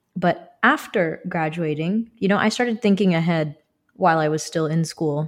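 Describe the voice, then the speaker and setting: A woman speaks at a moderate pace in a plain, everyday voice with fairly low pitch, on a very clean recording with a silent background. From US, born in India, moved at age two. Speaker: company director. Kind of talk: podcast interview.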